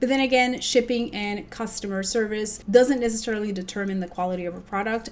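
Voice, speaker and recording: Noticeable background noise sits behind a woman talking. She keeps a moderate pace with ordinary pitch variation. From Puerto Rico. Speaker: makeup artist. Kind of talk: casual beauty review to camera.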